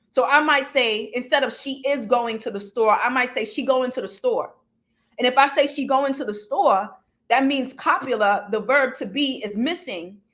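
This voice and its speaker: With ordinary pitch variation, a woman speaks at a moderate pace in a high pitch. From US Northeast, Brooklyn, New York. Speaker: professor. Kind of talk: academic talk.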